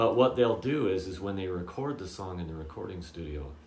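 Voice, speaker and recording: In a room with audible echo and noticeable background noise, a man with a very deep, low pitch speaks at a moderate pace. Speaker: guitar teacher. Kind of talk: tutorial. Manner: casual, with many fillers.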